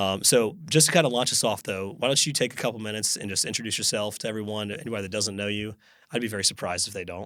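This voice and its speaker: Over a silent background in a very clean recording, a man talks very fast with a bright, sharp tone. His pitch is fairly low and varies in an ordinary way. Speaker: podcast host. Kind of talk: casual interview chat. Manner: animated.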